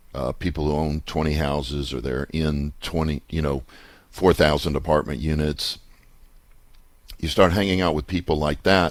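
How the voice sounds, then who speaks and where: At a moderate pace, a man with a very deep, low pitch and vocal fry talks with fairly even intonation. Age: 60s. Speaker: radio host and real estate investor. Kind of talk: radio show monologue. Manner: conversational.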